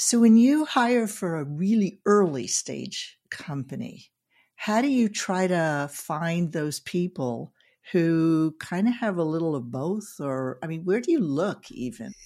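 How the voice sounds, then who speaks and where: Speaking fairly slowly with an American accent, a woman uses a fairly low pitch with very wide pitch swings. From Northern California. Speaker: podcast co-host. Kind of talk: podcast interview. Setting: video call.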